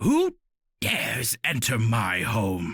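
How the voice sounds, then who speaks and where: Using a raspy put-on character voice, a man speaks at a medium pitch. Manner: bellowing, challenging.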